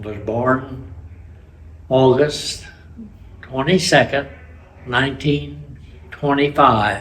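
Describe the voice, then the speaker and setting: A man speaks at a very slow pace, at medium pitch with ordinary pitch variation. Long pauses come often. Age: 80s+. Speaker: war veteran. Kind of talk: testimony. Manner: halting.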